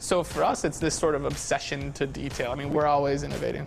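A man's fairly high pitch with vocal fry, fairly even intonation and a fast pace, faint music in the background

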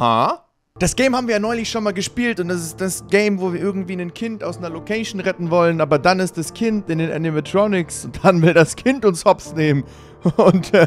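Over faint background music, a man talks at a fairly quick pace in a dry sound with no echo. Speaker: gaming streamer. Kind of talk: casual gaming commentary. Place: home room. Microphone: studio mic.

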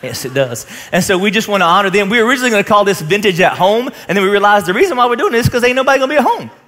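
A man talks at a very fast pace with hardly any pauses. His intonation is lively. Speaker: pastor. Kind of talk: sermon. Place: stage. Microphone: headset.

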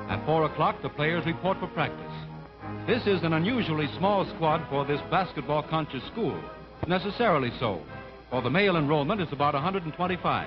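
Here a man talks at a fairly quick pace. Clear music plays in the background. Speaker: newsreel narrator. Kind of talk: newsreel narration. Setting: vintage 1940s film recording. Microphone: old recording.

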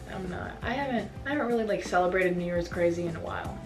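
A woman's fairly low voice at a very fast pace, with ordinary pitch variation and clear music in the background. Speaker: fashion vlogger. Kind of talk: casual vlog chat. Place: home room. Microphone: camera far.

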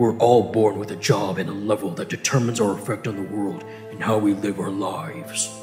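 A man's put-on character voice, fairly low in pitch and fairly quick in pace, with clear music in the background. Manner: pleading, then angry.

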